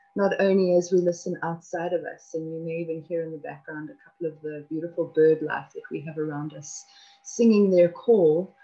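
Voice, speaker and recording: A woman with a fairly low pitch and ordinary pitch variation, moderate pace, music in the background. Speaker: spiritual teacher co-host. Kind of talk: calm spiritual talk to viewers. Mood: calm, gentle, warm. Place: home room. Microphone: webcam.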